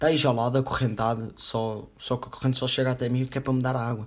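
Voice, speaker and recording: The recording is very clean, with a silent background. A man speaks very fast at a medium pitch in a monotone, flat intonation. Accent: European Portuguese. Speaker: podcast host. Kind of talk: casual solo podcast monologue.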